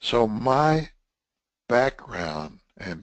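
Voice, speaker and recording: Someone with a Texan accent speaks over a quiet background. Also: man. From Texas. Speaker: webinar presenter, test management trainer. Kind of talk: webinar lecture. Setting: online webinar broadcast. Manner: casual, conversational.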